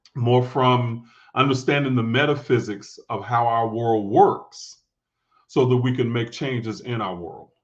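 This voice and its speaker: Against a quiet background, a man talks at a fairly slow pace. His medium-pitched voice holds fairly even intonation. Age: 50s. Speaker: spiritual teacher. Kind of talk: podcast interview. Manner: halting.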